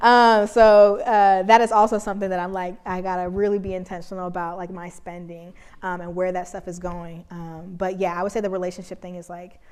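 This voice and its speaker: At a fairly quick pace, a woman speaks at medium pitch in a very clean recording with a silent background. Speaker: keynote speaker, designer and activist. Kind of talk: audience Q&A after keynote. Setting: conference stage with audience. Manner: casual, many fillers; loud.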